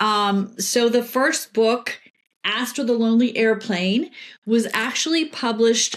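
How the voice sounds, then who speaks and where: A woman speaks in a normal speaking voice, fairly high in pitch, with ordinary pitch variation. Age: 60s. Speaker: PR professional and children's book author. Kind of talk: interview conversation.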